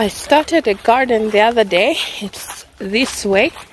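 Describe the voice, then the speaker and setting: Against light background noise, a woman speaks with ordinary pitch variation in a dry sound with no echo. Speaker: mother vlogger. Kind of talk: casual vlog chat. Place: garden. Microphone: phone near.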